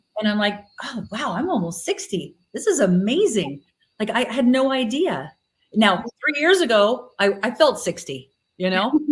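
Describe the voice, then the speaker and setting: At a moderate pace, a woman speaks somewhat breathily in a fairly high pitch with very wide pitch swings. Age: 50s. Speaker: retreat and spa owner. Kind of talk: interview.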